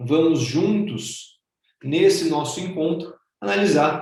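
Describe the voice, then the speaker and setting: A man with a Brazilian accent talks at a fairly high pitch. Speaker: human rights professor and public defender. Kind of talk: lecture. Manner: formal.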